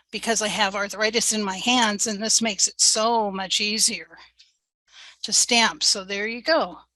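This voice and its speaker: A woman talks with a fairly high pitch and fairly even intonation. Her tone is bright and sharp, and the background is quiet. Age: 70s. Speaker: cardmaking tutorial host. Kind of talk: tutorial. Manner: slow.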